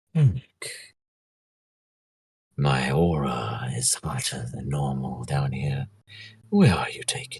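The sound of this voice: Putting on a character voice, a man speaks with a very deep, low pitch. He goes at a fairly slow pace with long, frequent pauses.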